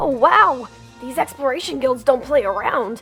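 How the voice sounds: Over faint music in the background, a woman does a cartoonish character voice at high pitch, with a fairly bright tone, vocal fry, lively intonation and a fairly slow pace.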